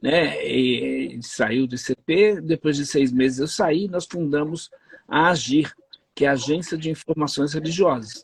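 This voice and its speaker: A man speaks in a plain, everyday voice, fairly high in pitch, at a moderate pace. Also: dry, close sound with no echo. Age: 60s. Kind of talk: interview.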